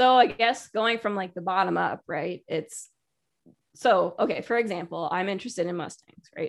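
A woman with an American accent speaks at a moderate pace in an ordinary speaking voice, with ordinary pitch variation against a quiet background. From Connecticut. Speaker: dog and horse trainer. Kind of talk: casual chat.

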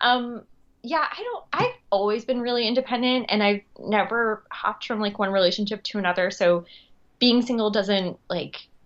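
With an American accent, a woman speaks in a plain, everyday voice at a fairly high pitch and a moderate pace. Her pitch variation is ordinary, and the background is quiet. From US Northeast, Long Island. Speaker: actress and writer. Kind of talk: casual chat.

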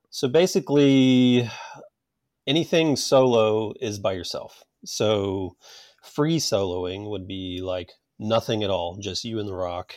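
A man talks at a fairly slow pace and a fairly low pitch with lively intonation. The recording is very clean, with a silent background. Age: 40s. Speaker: rock climber. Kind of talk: casual interview. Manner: hesitant, many fillers.

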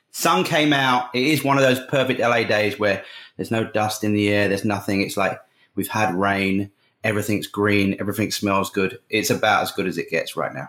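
Speech comes at a fairly quick pace with an English accent and ordinary pitch variation. The recording is very clean, with a silent background. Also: man, fairly low pitch for a man. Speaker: advertising creative director. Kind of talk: interview.

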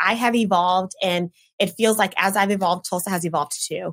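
In an American accent, a woman speaks in an animated tone at a medium pitch with ordinary pitch variation, on a very clean recording with a silent background. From Oklahoma, Edmond. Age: 40s. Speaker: recruiting and talent manager. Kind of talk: podcast interview.

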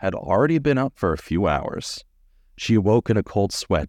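This is an unforced reading voice. Nothing more marks it.

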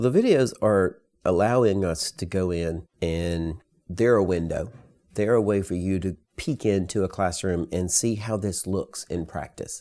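In a Southern US accent, the speaker talks at a fairly slow pace with a dark, mellow tone and ordinary pitch variation, on a very clean recording with a silent background. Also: man, very deep, low pitch for a man. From US South, rural. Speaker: author and educator. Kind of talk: interview.

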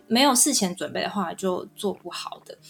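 A woman's moderately paced talking comes through noticeable background noise. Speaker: Korean-Chinese translator. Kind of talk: interview. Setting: online recording.

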